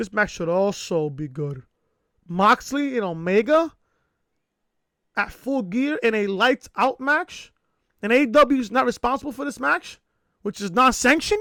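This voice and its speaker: Raised and projected, a man's excited, energetic voice at an extremely high pitch has a bright, sharp tone, very wide pitch swings, a moderate pace and long, frequent pauses, on a very clean, dry, close recording with a silent background and no echo. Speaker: wrestling podcaster. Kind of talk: casual review talk to camera.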